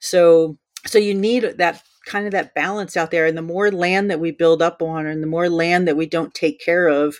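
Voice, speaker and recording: In a very clean recording with a silent background, a woman with an American accent and an unremarkable speaking voice speaks at a moderate pace with a fairly low pitch and fairly even intonation. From New Jersey. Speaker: wildlife photographer. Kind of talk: casual interview.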